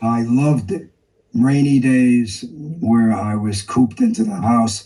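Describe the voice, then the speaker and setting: At a fairly slow pace, a man in a New York accent speaks at a medium pitch with a dark, mellow tone and ordinary pitch variation. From New York City, East Harlem. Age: 80s+. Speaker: artist. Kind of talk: interview.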